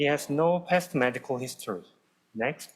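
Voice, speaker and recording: A man with a Korean accent and ordinary pitch variation. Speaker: cardiology fellow. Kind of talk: case presentation.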